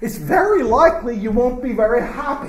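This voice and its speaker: A man with an American accent talks at a moderate pace with lively intonation. Noticeable background noise can be heard. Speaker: professor. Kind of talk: lecture. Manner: halting.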